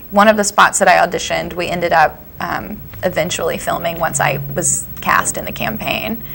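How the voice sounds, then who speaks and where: A woman talking at a fairly quick pace with an American accent is heard over noticeable background noise. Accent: slight Southern, mostly hidden. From US South, Cullman, Alabama. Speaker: actress. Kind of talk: casual interview chat. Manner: fast, lots of fillers.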